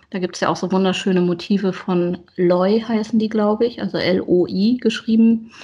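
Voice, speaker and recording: A somewhat breathy woman speaks at a moderate pace in a medium pitch. She uses ordinary pitch variation and hardly any pauses. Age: 40s. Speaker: teacher and planner enthusiast. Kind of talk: casual interview chat.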